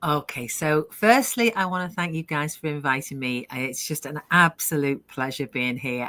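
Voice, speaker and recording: With a British accent, a woman speaks in a very deep, low voice that has a bright, sharp tone and lively intonation. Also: dry, close sound with no echo, very clean recording, silent background. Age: 60s. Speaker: online business owner. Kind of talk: live interview, personal story.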